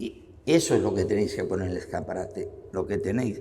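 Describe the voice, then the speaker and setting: At a moderate pace, a man talks with audible room echo. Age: 70s. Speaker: psychologist and podcaster. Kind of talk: interview.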